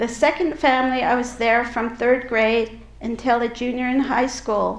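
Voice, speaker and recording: With a slight Utah accent, a woman speaks in a high pitch with monotone, flat intonation. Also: moderate pace. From Navajo reservation, New Mexico, raised partly in Utah foster homes. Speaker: public speaker on healing and advocacy. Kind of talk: personal testimony talk.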